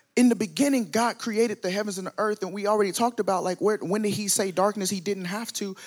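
Someone with an American accent talks at a very fast pace with ordinary pitch variation, the sound dry and close with no echo. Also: man. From US South. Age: 20s. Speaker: preacher. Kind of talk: sermon. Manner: animated.

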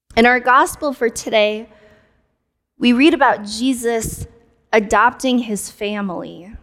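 A woman with an American accent speaks at a fairly high pitch and fairly slow pace, with ordinary pitch variation and long, frequent pauses. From South Korea, adopted and raised in the US. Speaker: pastor. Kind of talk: sermon.

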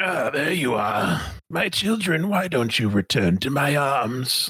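A man's raspy put-on character voice, fairly high in pitch, with very wide pitch swings at a fairly slow pace. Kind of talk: grandiose. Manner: eerie, welcoming, sinister.

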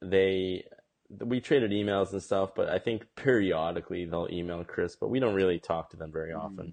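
A man's very deep, low voice with an American accent at a moderate pace. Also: ordinary pitch variation. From Massachusetts, US Northeast. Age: 20s. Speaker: Korean adoptee, ad agency executive. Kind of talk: casual chat.

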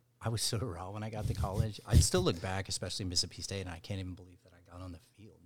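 This man, with an American accent, speaks very fast in a very deep, low, somewhat breathy voice, with hardly any pauses, big swings in loudness and fairly even intonation. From Dallas, Texas. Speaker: baseball brand co-founder, former pro baseball player. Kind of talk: casual interview.

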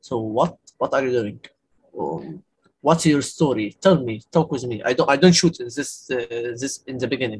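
A man with an Arabic accent speaks at a moderate pace in a somewhat breathy voice, with medium pitch and ordinary pitch variation. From Egypt, Cairo. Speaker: documentary photographer. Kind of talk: casual chat. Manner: halting.

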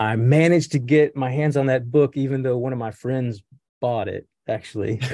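Over a quiet background, a man speaks at a medium pitch and a moderate pace, his tone dark and mellow and his intonation fairly even. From Appalachia, Welch, West Virginia. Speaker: professor and astronomer. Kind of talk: casual interview chat.

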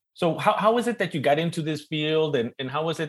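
With lively intonation, a man with an East LA accent speaks at a fairly quick pace. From East Los Angeles, US. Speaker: panel moderator and professor. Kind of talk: panel moderation, casual and jokey. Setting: video call.

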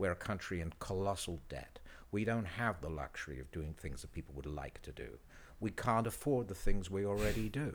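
With a British accent, a man speaks at a fairly quick pace in a very deep, low pitch with vocal fry, lively intonation and big swings in loudness, on a very clean recording with a silent background. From Britain. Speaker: photographer. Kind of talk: casual chat.

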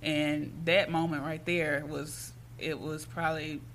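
Audible room echo surrounds the voice. A woman speaks at a very slow pace. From Jackson, Mississippi. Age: young. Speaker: artist manager. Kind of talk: casual interview.

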